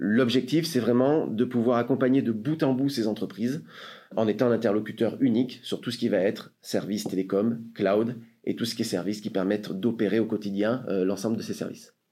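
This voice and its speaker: A man's dark, mellow voice at medium pitch, fairly quick in pace, with ordinary pitch variation. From France, Marseille. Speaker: sales director of a tech company. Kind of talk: interview. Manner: hesitant, with fillers.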